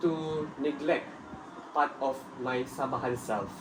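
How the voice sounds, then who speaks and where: Over noticeable background noise and audible room echo, a man talks at a fairly slow pace with a fairly high pitch. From Malaysia, Sabah (Tuaran). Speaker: student. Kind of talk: scripted group discussion.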